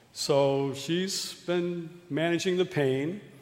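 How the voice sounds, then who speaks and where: Noticeable background noise behind a male voice with ordinary variation in pitch. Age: 60s. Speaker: preacher and youth canvassing program leader. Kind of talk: sermon. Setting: church.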